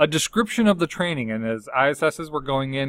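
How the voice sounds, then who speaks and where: Talking at a fairly quick pace, a man comes through with a dry sound without echo over a quiet background. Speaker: instructional support specialist; school district staff trainer. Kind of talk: tutorial. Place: office. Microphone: webcam.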